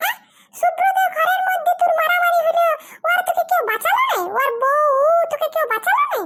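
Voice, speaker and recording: An extremely high-pitched cartoonish character voice at a moderate pace. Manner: blunt, scolding.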